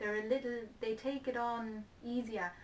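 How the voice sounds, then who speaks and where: A moderate pace with a German accent. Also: woman. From Germany. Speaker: interviewee. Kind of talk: interview.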